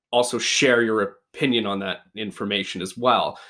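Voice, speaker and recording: In a Canadian accent, a man with an ordinary speaking voice talks at a moderate pace and medium pitch with fairly even intonation, captured on a very clean recording with a silent background. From Canada. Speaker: podcast co-host. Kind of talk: casual chat.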